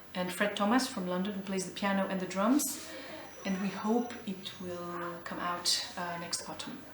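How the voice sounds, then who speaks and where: A woman with an Albanian accent and ordinary pitch variation, over noticeable background noise with audible room echo. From Albania, then Geneva, Switzerland. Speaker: jazz vocalist. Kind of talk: interview. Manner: halting, with many fillers.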